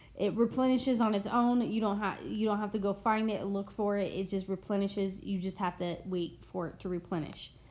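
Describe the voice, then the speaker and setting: A woman's medium-pitched voice at a fairly quick pace, fairly even in intonation, with hardly any pauses. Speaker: gaming tutorial youtuber. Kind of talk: tutorial. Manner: loud; hesitant, many fillers.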